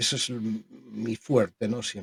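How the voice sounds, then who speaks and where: Somewhat breathy, the man's voice comes through dry and close, with no echo. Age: 60s. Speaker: spiritual medium. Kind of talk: interview conversation. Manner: halting.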